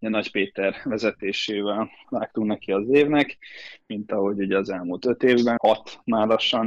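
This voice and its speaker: A man with an unremarkable speaking voice, fairly low in pitch, at a moderate pace, in a dry, close sound with no echo. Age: 20s. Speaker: swimmer. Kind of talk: interview.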